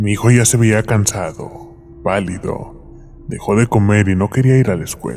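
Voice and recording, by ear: A natural voice reading aloud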